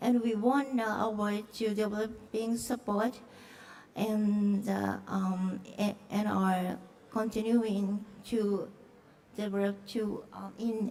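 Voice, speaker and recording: A woman with a Japanese accent speaks very slowly in a fairly high, flat monotone, with noticeable background noise and audible room echo. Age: middle-aged. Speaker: film producer. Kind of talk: conference presentation. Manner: halting, many fillers.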